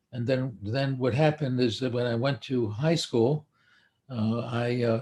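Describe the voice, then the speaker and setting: A man with an American accent speaks at a moderate pace and medium pitch in a monotone, flat way. His voice is somewhat breathy, with a dark, mellow tone. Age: 80s+. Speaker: psychiatrist. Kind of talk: live stream talk. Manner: halting.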